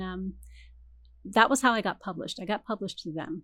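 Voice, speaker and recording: This woman speaks in a Californian accent. Her pitch is medium, with ordinary variation. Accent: Californian American. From Canada, then US (Michigan, California). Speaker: romance novelist. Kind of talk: interview.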